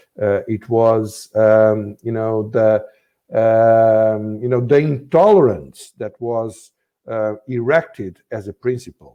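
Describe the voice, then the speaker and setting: Speaking at a very slow pace, a man uses a medium pitch with a dark, mellow tone. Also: ordinary pitch variation. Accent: Portuguese. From Portugal, Azores. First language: Portuguese. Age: 60s. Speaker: former politician, think tank director. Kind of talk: interview. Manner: halting, many fillers.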